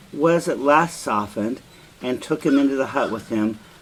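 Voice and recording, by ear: A natural voice reading aloud, lively in its intonation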